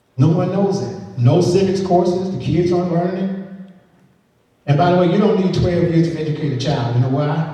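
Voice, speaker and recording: A fairly high-pitched man with an American accent, at a fairly quick pace, with ordinary pitch variation and audible room echo. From US South, Georgia. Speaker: political candidate. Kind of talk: public speech. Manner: conversational.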